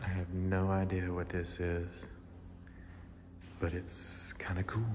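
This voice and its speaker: A man talks at a very deep, low pitch in a monotone, flat intonation with very even loudness and a fairly slow pace. Audible room echo and noticeable background noise are present. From Arkansas, Little Rock. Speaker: travel vlogger. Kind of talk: travel vlog narration. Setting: walking outdoors and in a museum.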